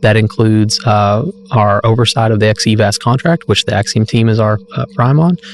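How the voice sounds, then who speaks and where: A man speaks at a fairly quick pace with an American accent, his pitch fairly low. Music plays in the background, and the sound is dry and close with no echo. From US South, rural Arkansas. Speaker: space agency project manager. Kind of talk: interview.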